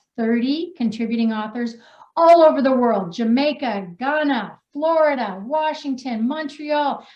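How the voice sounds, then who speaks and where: A loud woman's voice, high in pitch, with very wide pitch swings at a fairly slow pace. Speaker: wellness coach and author. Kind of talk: reading aloud own story; casual live chat introducing authors. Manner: animated.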